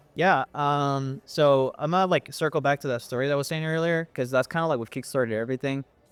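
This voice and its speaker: With music in the background, a man talks at a fairly quick pace. His voice is fairly high and his tone relaxed. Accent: American. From Dallas, Texas. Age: 20s. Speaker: musician. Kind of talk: interview answer. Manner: casual, relaxed.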